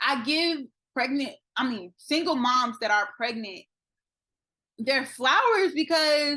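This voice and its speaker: A woman with an American accent projects her voice, high in pitch and bright and sharp in tone. She speaks at a fairly slow pace with lively intonation. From Florida. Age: 20s. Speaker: army veteran. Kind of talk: interview answer.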